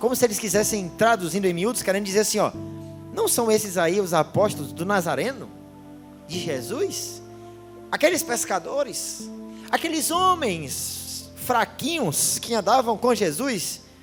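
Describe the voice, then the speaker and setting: Music plays in the background while the speaker goes at a fairly slow pace. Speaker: preacher. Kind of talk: sermon. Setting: church service.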